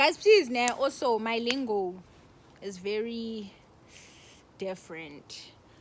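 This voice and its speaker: A woman talks at a very slow pace amid noticeable background noise. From South Africa. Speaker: YouTuber. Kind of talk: storytime vlog. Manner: animated.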